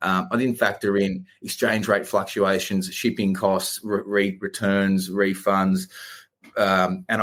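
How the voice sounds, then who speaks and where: A man talks with an Australian accent at a moderate pace. His pitch is fairly low and his intonation fairly even. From Australia, Melbourne. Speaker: company founder. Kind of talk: podcast interview. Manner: many fillers and repetitions.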